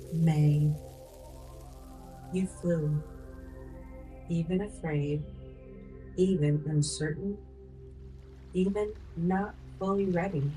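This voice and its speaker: Soft-spoken whispering comes very slowly, broken by long, frequent pauses, with music in the background. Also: woman. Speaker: life coach. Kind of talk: ASMR life coaching affirmations. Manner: soft-spoken, whispered.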